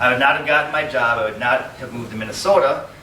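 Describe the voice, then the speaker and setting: At a fairly quick pace, a speaker with an American accent is heard over noticeable background noise. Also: man. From Wisconsin, USA. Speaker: political candidate. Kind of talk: campaign speech.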